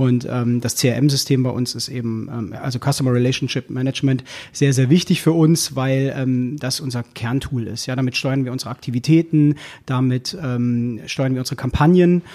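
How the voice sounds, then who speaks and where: A man speaks at medium pitch with a dark, mellow tone. His intonation is fairly even. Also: moderate pace. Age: 30s. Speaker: key account manager at a newspaper. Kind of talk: casual interview.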